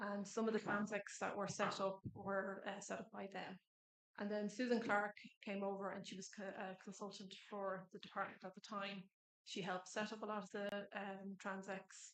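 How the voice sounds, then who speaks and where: With an Irish accent, a woman speaks at a moderate pace and a medium pitch in a monotone, flat intonation. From Ireland. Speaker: government environment officer. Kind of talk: conference presentation.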